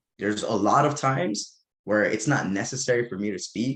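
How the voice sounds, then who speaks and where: A man talks with lively intonation. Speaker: podcast guest, real estate. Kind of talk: casual chat. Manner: fast.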